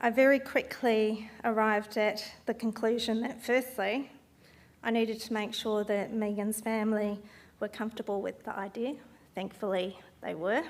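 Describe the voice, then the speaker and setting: A woman speaks at a moderate pace in a fairly high voice with monotone, flat intonation. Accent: Australian. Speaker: event organiser and speaker, landscape architect. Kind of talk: speech at memorial talk event. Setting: stage with audience, also streamed online. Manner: formal.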